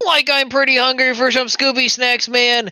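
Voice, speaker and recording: Someone puts on a high-pitched character voice and speaks at a moderate pace over light background noise. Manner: laid-back, slurry.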